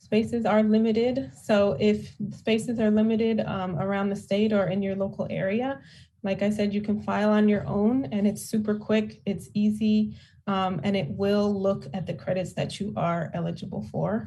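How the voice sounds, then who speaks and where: A somewhat breathy woman's voice with a dark, mellow tone, amid audible room echo. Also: medium pitch for a woman, ordinary pitch variation, moderate pace. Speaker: tax credit outreach presenter. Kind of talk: town hall presentation. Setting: town hall.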